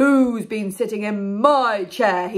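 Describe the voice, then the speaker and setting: A female-sounding voice is doing a put-on character voice. Her pitch sits fairly high. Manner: loud.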